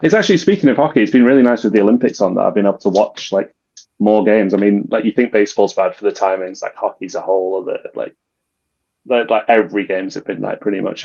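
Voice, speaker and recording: A man talks at a very fast pace. He has a British accent. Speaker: podcast co-host. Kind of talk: casual sports podcast chat.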